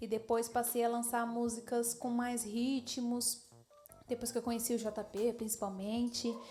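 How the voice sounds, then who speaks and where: The woman talks fairly slowly while noticeable noise sits in the background. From Diadema, São Paulo, Brazil. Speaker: singer. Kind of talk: casual interview. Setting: kitchen show set.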